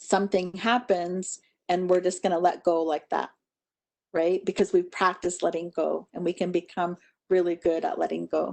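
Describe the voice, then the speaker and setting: A woman speaks at a medium pitch in a flat monotone, with a dry, close sound, no echo and a quiet background. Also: moderate pace. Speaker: wellness trainer and presenter. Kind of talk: conference presentation.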